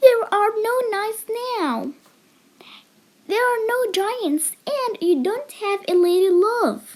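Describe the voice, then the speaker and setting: A woman's put-on character voice, extremely high, at a fairly slow pace with long, frequent pauses. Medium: read story. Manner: scolding.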